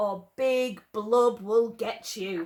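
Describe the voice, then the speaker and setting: A woman puts on a character voice, her pitch sitting fairly high. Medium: read story. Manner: playful.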